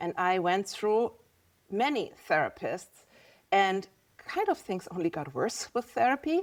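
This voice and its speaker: A woman at medium pitch with a German accent, fairly slow, with very wide pitch swings. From Germany. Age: 50s. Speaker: visual artist. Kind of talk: podcast interview.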